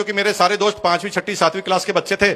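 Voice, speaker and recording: A high-pitched man projects his raised voice at a moderate pace. His intonation stays fairly even. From Rajasthan, India (Bhilwara). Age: 50s. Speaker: network marketing speaker. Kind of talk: motivational talk.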